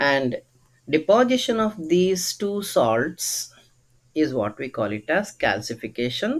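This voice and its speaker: A man with a fairly high pitch talks at a very slow pace, his pitch swinging very widely. The recording is very clean, with a silent background. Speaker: zoology teacher. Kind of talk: lecture.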